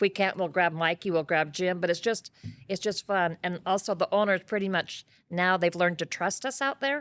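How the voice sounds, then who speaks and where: A woman has a normal speaking voice, medium in pitch with ordinary pitch variation, at a moderate pace. The recording is very clean with a silent background and a dry, close sound with no echo. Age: 60s. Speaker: warehouse manager. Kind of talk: casual chat.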